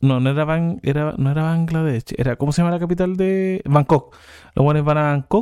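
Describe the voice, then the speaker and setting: A man's fairly high, dark, mellow voice at a fairly quick pace, with ordinary pitch variation, a dry, close sound with no echo, and a very clean recording with a silent background. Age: 30s. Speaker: podcast co-host. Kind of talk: casual chat.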